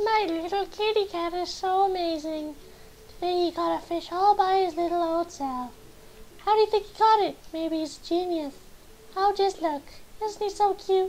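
A squeaky, put-on character voice speaks at a moderate pace. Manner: gushing, chatty.

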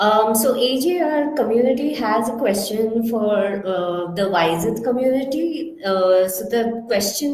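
Over noticeable background noise, a woman with a fairly high pitch speaks with lively intonation. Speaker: event moderator. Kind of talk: Q&A interview. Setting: online audio chat room.

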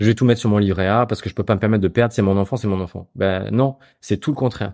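The voice has a dark, mellow tone and ordinary pitch variation. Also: man, quiet background. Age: 40s. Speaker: founder of an investment advisory platform. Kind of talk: interview. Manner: hesitant, many fillers and repetitions.

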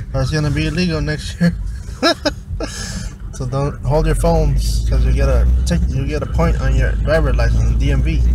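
A man's voice with a dry, echo-free sound over loud background noise. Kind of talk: casual vlog chat. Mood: relaxed, chatty. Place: car. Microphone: phone near.

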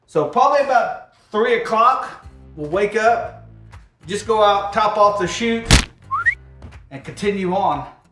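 A man speaks at a fairly slow pace with audible room echo. Faint music plays in the background. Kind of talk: tutorial. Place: kitchen. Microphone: camera far.

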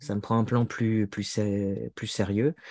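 A man with a dark, mellow tone against a quiet background. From France. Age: 40s. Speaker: author and translator; interviewee. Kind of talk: interview conversation. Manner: hesitant, many fillers. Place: home room. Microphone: earbuds.

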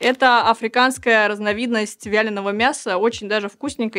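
A woman speaks at a fairly quick pace in an animated tone with ordinary pitch variation. The background is quiet. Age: 30s. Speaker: tech news presenter; news presenter. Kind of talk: news roundup vlog. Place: studio.

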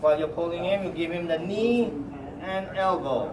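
A man speaks in a high voice at a fairly slow pace, with ordinary pitch variation. Noticeable background noise runs underneath. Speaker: martial arts instructor. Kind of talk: demonstration instruction. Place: hall. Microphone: camera far.

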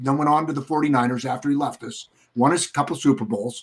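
Against a quiet background, the speech moves at a fairly slow pace. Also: man. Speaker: sports broadcaster and former football coach. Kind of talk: casual banter and storytelling. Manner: animated, punchy, upbeat; storytelling, vivid, rambling anecdotes. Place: home room.

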